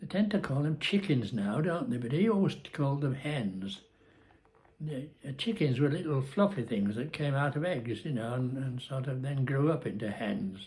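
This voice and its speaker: The speaker has a Cumbrian accent and a somewhat breathy voice. The pace is moderate, with very wide pitch swings. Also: man. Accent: northern English (Cumbrian). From Cumbria, England. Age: 80s+. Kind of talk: casual talk to camera, life story vlog. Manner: hesitant, rambling.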